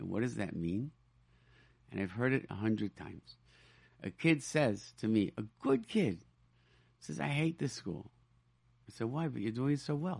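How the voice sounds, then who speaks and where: A man with an American accent, at a medium pitch with very wide pitch swings and long, frequent pauses. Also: moderate pace. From Rochester, New York. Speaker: radio host. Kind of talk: radio talk show. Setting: studio. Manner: animated.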